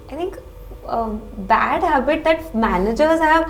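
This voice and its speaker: With music in the background, a woman speaks with lively intonation. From Kolkata, India. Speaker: MBA interview candidate. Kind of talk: mock job interview. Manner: halting.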